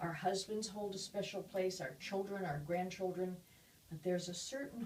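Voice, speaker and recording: Noticeable background noise sits behind a woman's voice. She speaks at a medium pitch. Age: 80s+. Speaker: public speaker on aging. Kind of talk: interview talk.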